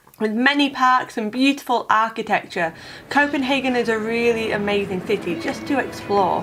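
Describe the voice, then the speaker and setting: A woman speaks with a fairly high pitch. Noticeable background noise is present. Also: ordinary pitch variation, moderate pace. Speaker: travel vlogger. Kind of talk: travel video voiceover.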